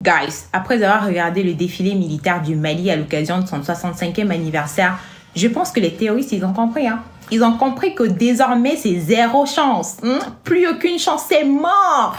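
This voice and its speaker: In an African accent, the speaker moves at a moderate pace with very wide pitch swings, amid noticeable background noise and audible room echo. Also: woman, fairly high pitch for a woman. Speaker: social media commentator. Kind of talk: casual vlog commentary. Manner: animated.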